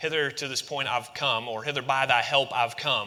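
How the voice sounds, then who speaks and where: Here a man talks at a fairly quick pace in a medium pitch. His tone is bright and sharp, with ordinary pitch variation. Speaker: pastor. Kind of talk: sermon. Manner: fast.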